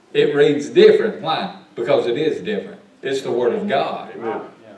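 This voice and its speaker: A man's voice carries audible room echo. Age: 50s. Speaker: pastor teaching Sunday school. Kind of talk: Sunday school Bible lesson. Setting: church. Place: church. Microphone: camera far.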